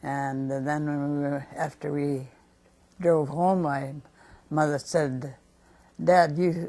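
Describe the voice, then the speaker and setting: Speaking very slowly with an American accent, a woman has a very deep, low pitch and a dark, mellow tone. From North Dakota, USA. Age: 80s+. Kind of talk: life story interview answer. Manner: slow, hesitant.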